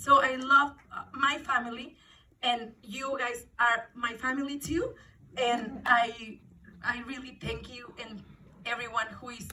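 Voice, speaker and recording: In a Mexican accent, a woman speaks at a fairly slow pace and a high pitch, her bright, sharp tone keeping fairly even intonation amid big swings in loudness. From Mexico. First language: Spanish. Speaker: actress. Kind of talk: emotional speech at press event. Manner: halting.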